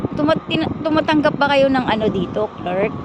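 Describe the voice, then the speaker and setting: Moderate pace against noticeable background noise. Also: woman. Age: 60s. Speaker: vlogger. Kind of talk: personal storytelling. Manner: casual, rambling with fillers.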